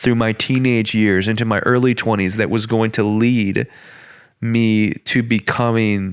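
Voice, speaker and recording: A man talks with a fairly low pitch. His intonation is fairly even and his pace is moderate. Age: 20s. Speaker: podcast host. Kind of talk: casual chat.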